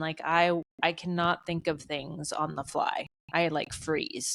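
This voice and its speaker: This woman talks at a fairly slow pace in a fairly low pitch, with an ordinary speaking voice. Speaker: podcast co-host. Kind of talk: casual chat.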